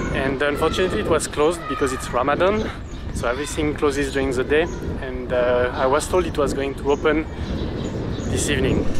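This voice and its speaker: A man at a fairly quick pace with ordinary pitch variation, dry sound with no echo, and loud background noise. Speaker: travel vlogger. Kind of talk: casual vlog chat. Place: street. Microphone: phone near.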